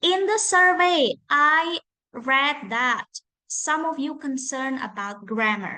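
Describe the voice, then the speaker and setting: A woman with a high pitch uses a raised, projected voice at a fairly slow pace. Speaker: English lecturer. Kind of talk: online lecture.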